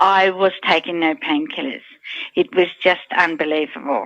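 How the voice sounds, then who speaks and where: A woman with an Australian accent keeps a moderate pace as she talks. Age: 60s. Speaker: product testimonial giver. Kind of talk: testimony.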